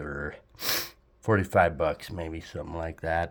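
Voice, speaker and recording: In a very clean recording, a man speaks against a silent background. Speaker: guitar gear reviewer. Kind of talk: casual talk to camera.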